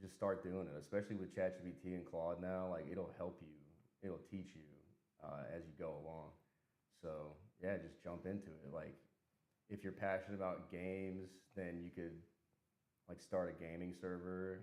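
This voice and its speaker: A man with an American accent speaks in a very deep, low voice with monotone, flat intonation. His pace is moderate with long, frequent pauses, and there is audible room echo. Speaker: software engineer. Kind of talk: casual chat. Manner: casual, filler-heavy.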